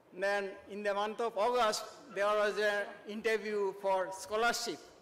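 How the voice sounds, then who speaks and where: Speaking at a high pitch, a man keeps his intonation monotone and flat. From India, Tripura. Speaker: retired professor. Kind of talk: ceremonial speech. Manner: halting.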